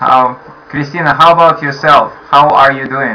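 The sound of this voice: A man at medium pitch, with a bright, sharp tone, fairly even intonation, a fairly slow pace and audible room echo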